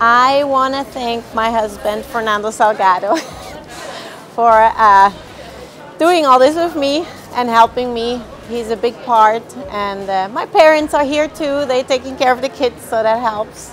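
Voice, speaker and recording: Over faint background music, a woman with a high pitch talks fairly slowly with ordinary pitch variation. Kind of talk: interview answer. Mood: happy, a bit shy, laughing. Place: hall. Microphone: lapel.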